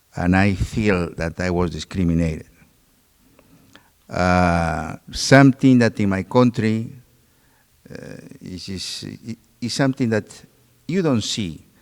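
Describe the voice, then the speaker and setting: A man with a Peruvian accent talks at a very slow pace with long, frequent pauses, his fairly low pitch moving in lively intonation over a dry, close sound with no echo. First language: Spanish. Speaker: doctor. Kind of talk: panel discussion.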